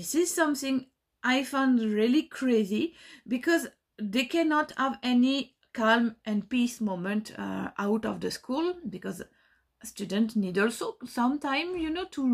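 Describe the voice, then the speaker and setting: In a very clean recording with a silent background, a woman with a French accent speaks at a fairly slow pace, high in pitch and with lively intonation. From France. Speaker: dance teacher. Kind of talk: recorded testimony. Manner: halting, many fillers.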